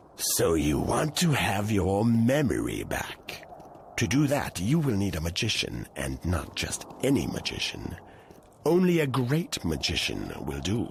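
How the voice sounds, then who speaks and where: A man's put-on character voice, fairly low-pitched and fairly slow, with very wide pitch swings over clear background noise. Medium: video game. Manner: measured, formal.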